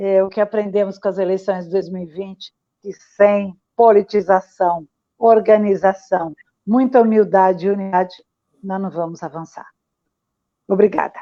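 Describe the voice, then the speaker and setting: A woman speaks at a medium pitch and a moderate pace, with a dark, mellow tone, flat monotone intonation, and long, frequent pauses. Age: 60s. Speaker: community activist. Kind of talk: panel discussion. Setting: livestream.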